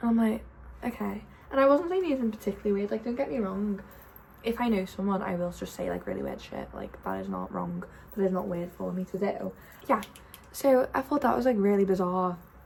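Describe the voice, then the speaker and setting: Very fast speech from a woman, with noticeable background noise. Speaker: vlogger. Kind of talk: casual vlog chat.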